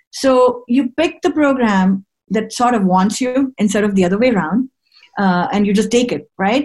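A woman with a fairly high pitch and a somewhat breathy voice speaks at a moderate pace with lively intonation and very even loudness. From India. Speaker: infectious disease physician. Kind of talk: interview.

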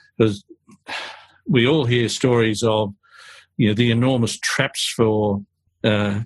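A man speaks with an Australian accent at a fairly slow pace. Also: long, frequent pauses, very even loudness, dry, close sound with no echo. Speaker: podcast host. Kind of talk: interview, professional conversation.

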